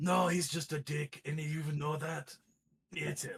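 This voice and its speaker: A man puts on a character voice that is raspy and growling. It sits at a fairly high pitch with fairly even intonation. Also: moderate pace. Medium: actual play. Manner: gruff, solemn.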